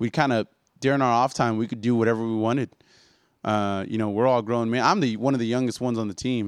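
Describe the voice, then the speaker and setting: Speaking very fast with a West Texas accent, a man at medium pitch keeps his intonation fairly even against a quiet background. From Odessa, Texas. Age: 20s. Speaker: professional boxer. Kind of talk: casual chat.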